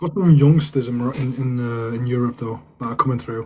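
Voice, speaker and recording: Somewhat breathy and dark, mellow in tone, a man speaks at medium pitch with ordinary pitch variation. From northern England, Manchester area. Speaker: live streamer, football fan. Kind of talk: casual live stream chat.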